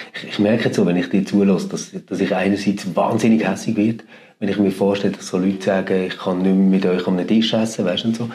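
Amid noticeable background noise and audible room echo, a man with a fairly low pitch speaks at a very fast pace in a monotone, flat delivery. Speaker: podcast host. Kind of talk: interview.

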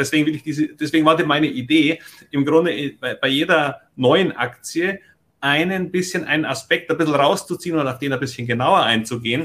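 This man's voice sits fairly high, with ordinary pitch variation. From Munich, Bavaria. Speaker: stock investing podcaster and mentor. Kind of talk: casual conversation, mentoring session.

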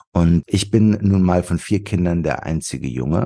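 A man's very deep, low voice with a dark, mellow tone and vocal fry. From Wuppertal, western Germany. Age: 40s. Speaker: author and marketing strategist. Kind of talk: interview.

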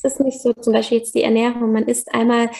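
A woman speaks with a high pitch. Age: 30s. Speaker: yoga teacher and podcaster. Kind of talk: personal testimony in interview. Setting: remote call.

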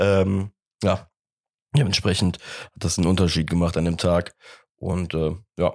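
With long, frequent pauses, a man speaks in a very deep, low pitch. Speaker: football podcast host. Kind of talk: casual chat. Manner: animated.

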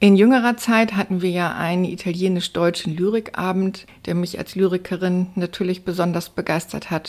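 A woman speaks at a moderate pace with fairly even intonation and a fairly low pitch, over noticeable background noise. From northern Germany, Stade near Hamburg. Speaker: journalist and poet. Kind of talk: interview. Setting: studio.

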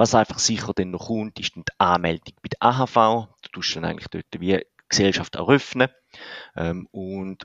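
Recorded dry and close with no echo against a quiet background, a man with a fairly low pitch speaks with ordinary pitch variation. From Switzerland, canton of St. Gallen. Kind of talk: explanatory interview. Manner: hesitant, many filler sounds.

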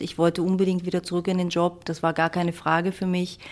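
In a very clean recording with a silent background, a woman speaks in a fairly low pitch with monotone, flat intonation. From Germany. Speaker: construction company executive. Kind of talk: interview. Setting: Vienna, view of skyline.

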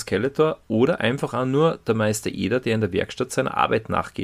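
Ordinary pitch variation and a moderate pace from a man with a medium-pitched voice. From Salzburg, Austria. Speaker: podcast co-host. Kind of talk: casual chat. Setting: studio.

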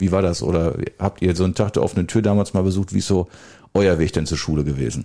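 Talking at a very fast pace, this man has a very deep, low pitch, a dark, mellow tone, vocal fry, ordinary pitch variation and very even loudness on a very clean recording with a silent background. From Westphalia, Germany (Soest district village). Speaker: mayor hosting local podcast. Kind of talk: casual chat. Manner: hesitant, many fillers.

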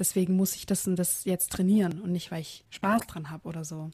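A very clean recording with a silent background carries a somewhat breathy, dark and mellow voice at a moderate pace with monotone, flat intonation. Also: woman. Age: 20s. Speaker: physiotherapist and running coach. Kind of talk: interview.

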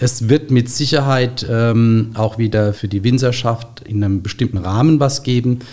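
A man speaks at a fairly slow pace with a medium pitch and fairly even intonation. His tone is dark and mellow, and somewhat breathy. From Rheinhessen, Germany. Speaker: grapevine nursery owner. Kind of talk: interview. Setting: studio.

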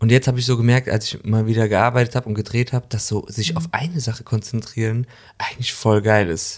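A man speaks at a very fast pace. His voice sits at a medium pitch with ordinary pitch variation. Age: 40s. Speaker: actor and podcast co-host. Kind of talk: casual chat. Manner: animated.

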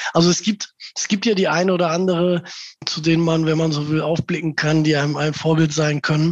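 A man speaks at a fairly quick pace with monotone, flat intonation, and the sound is dry and close with no echo. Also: fairly high pitch for a man. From Gelsenkirchen, Ruhr area, Germany. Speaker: local newspaper editor. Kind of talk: interview.

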